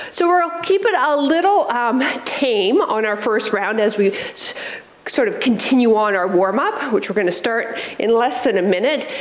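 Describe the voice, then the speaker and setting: A woman speaks at a moderate pace with audible room echo around her voice. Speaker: fitness instructor. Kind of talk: workout instruction. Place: home room. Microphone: headset.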